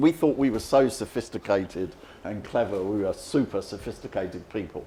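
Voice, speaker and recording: A man speaks with a London accent at a moderate pace. His intonation is lively. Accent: English, London area. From England. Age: 70s. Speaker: economist. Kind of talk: lecture.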